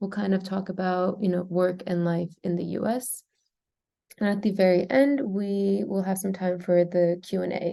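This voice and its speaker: A woman with an American accent speaks at a moderate pace in a dark, mellow tone. Her pitch is medium and her intonation fairly even. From US, California. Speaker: program manager. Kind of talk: webinar presentation. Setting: video call from office.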